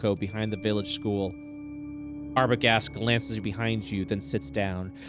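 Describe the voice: The delivery is plain reading aloud. Its intonation rises and falls in a lively way.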